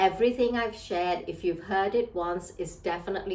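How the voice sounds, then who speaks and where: A woman's fairly quick speech with fairly even intonation and audible room echo. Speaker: leadership trainer and coach. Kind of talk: motivational talk.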